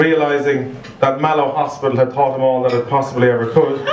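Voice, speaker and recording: Monotone, flat intonation from a man with a Cork accent at a moderate pace, with noticeable background noise. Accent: Irish, Cork. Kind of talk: best man wedding speech.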